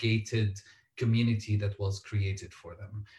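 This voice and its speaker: A man with a somewhat breathy, medium-pitched voice speaks at a moderate pace. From Syria, Damascus. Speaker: author and LGBTQ activist. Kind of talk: panel discussion.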